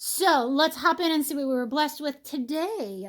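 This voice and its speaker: On a very clean recording with a silent background, a woman speaks in an animated tone. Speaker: homesteading mother, vlogger. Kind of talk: casual vlog, unboxing haul. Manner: fast.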